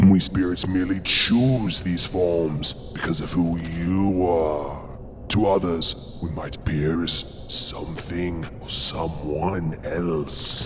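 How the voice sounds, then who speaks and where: A man uses a put-on character voice with a very deep, low pitch and a very slow pace. Clear background noise is present. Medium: audio drama. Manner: sultry, unhurried, purring.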